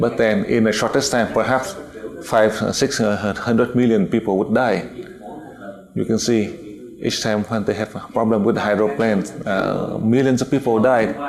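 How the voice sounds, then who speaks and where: With a Vietnamese accent, the speaker keeps a moderate pace, very even loudness and ordinary pitch variation amid noticeable background noise and audible room echo. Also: man, medium pitch for a man. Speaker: spiritual teacher. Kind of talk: lecture. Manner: halting, many fillers.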